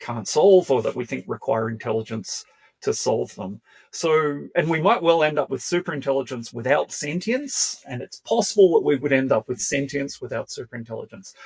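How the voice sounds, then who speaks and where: A man with a plain, everyday voice and lively intonation at a moderate pace, with a dry, close sound and no echo. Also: fairly high pitch for a man. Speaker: philosophy professor. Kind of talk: interview.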